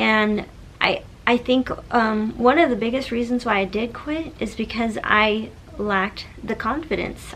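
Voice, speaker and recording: This woman's voice is fairly high, her intonation fairly even. She keeps a moderate pace, with noticeable noise in the background. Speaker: social media blogger and mom coach. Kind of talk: tutorial. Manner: casual, conversational.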